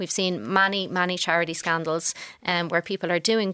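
At a fairly quick pace, a woman with an Irish accent speaks at a medium pitch in a bright, sharp tone, with a dry, close sound and no echo. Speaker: news editor. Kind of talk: panel discussion.

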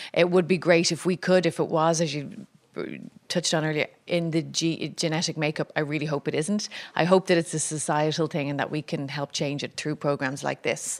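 On a very clean recording with a silent background, a woman with an Irish accent talks at a fairly quick pace in a very deep, low pitch with fairly even intonation. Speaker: radio host, panel moderator. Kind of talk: moderating a live panel discussion. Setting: stage with live audience.

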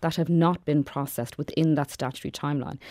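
Over a silent background in a very clean recording, a woman talks at a very fast pace in a very deep, low pitch with a dark, mellow tone. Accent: Irish. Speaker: radio reporter. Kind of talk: radio feature report. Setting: studio.

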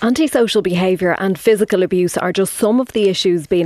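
A woman speaks with an Irish accent at a fairly quick pace. Her pitch is medium, and there is noticeable background noise. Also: dry, close sound with no echo. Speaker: radio news presenter. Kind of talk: radio news interview. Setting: studio.

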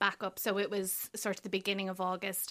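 In an Irish accent, a woman speaks with a bright, sharp tone. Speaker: crime writer. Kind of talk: casual radio chat. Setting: studio.

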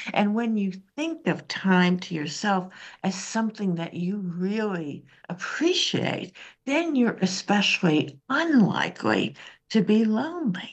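Speaking at a fairly slow pace, a woman with an American accent uses very wide pitch swings. Her voice sits at a medium pitch and sounds somewhat breathy. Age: 70s. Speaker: social scientist and author. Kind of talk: radio interview. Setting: remote line to radio studio.

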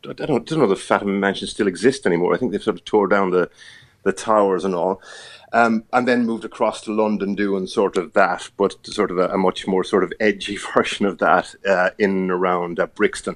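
A man speaks with an Irish accent at a fairly low pitch. His intonation is fairly even against a quiet background. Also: fairly quick pace. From Ireland. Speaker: TV journalist. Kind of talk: casual interview chat.

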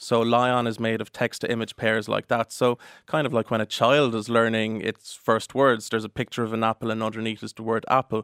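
On a very clean recording with a silent background and a dry, close sound with no echo, a man with an Irish accent speaks at a fairly quick pace, medium in pitch and flat in a monotone, with hardly any pauses. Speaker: solicitor. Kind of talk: radio interview.

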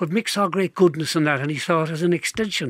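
A man with a normal speaking voice, fairly quick pace and fairly even intonation. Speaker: folk singer. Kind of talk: casual chat.

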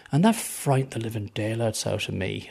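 Vocal fry colors a man's medium-pitched voice as he speaks with lively intonation. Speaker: non-believer interviewee. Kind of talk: personal testimony in a radio interview. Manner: earnest; firm, reflective.

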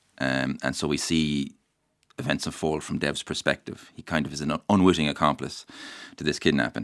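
With a west of Ireland accent, a man speaks at a moderate pace in a very deep, low voice with vocal fry. His intonation stays fairly even. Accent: west of Ireland Irish. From Ireland, County Mayo. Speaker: novelist. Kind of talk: radio interview.

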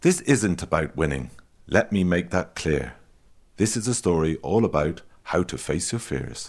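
A man with a very deep, low voice, lively intonation and an animated tone, some vocal fry, a moderate pace, and a very clean recording over a silent background. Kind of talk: children's story reading, scripted comic sketch. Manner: mock-patient, fussy teacherly sing-song, exasperated at interruptions; animated, rhythmic rhyming delivery.

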